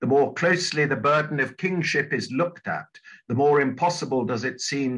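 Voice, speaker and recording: A man's fairly high voice with a southern English accent, bright and sharp in tone, with vocal fry, against a quiet background. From southern England. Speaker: church minister and retired divinity professor. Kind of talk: lecture. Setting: video call. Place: home room. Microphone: webcam.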